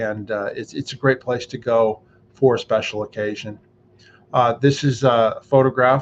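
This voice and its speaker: Here a man speaks at a medium pitch. His intonation is fairly even. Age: 60s. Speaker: YouTube vlogger. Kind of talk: casual vlog monologue. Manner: hesitant, many fillers.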